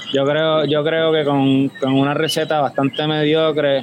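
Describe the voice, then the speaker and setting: Over noticeable background noise, a man speaks with a fairly high pitch and monotone, flat intonation. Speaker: homebrewer and beer judge. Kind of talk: casual chat. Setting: remote call with headphones.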